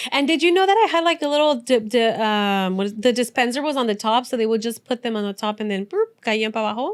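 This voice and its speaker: A woman's fairly high, lively voice with a Spanish accent, at a very fast pace with hardly any pauses. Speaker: podcast co-host. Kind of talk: casual chat.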